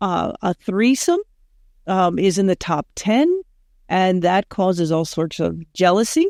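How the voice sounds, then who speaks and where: In an American accent, a woman speaks at a fairly slow pace with an ordinary speaking voice, medium pitch and ordinary pitch variation, on a very clean recording with a silent background and a dry, close sound with no echo. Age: 60s. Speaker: sexologist. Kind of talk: podcast interview.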